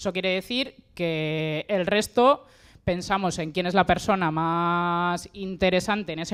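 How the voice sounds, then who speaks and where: This is a normal speaking voice with ordinary pitch variation. The recording is very clean, with a silent background. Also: woman. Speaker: member of an agroecological collective. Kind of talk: panel talk.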